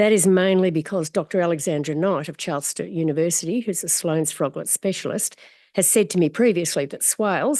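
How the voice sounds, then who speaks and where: Against a quiet background, a woman with an Australian accent talks at a fairly quick pace with ordinary pitch variation. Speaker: community advocate. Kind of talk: public submission at council meeting. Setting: council chamber. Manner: formal.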